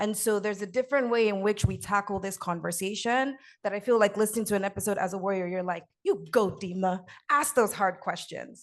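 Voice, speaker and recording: A woman with an American accent speaks at a very fast pace with fairly even intonation over a quiet background. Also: medium pitch for a woman. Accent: American-sounding, Nigerian accent underneath. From Nigeria, Lagos. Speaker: podcast host and sickle cell patient advocate. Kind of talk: panel talk, personal testimony.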